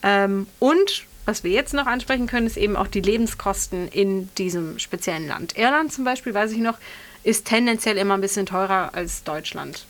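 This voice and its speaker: A woman speaks at a moderate pace with a medium pitch. Hers is an unremarkable speaking voice. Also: ordinary pitch variation. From western Germany (Bergisch Gladbach). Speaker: radio host. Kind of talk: casual chat.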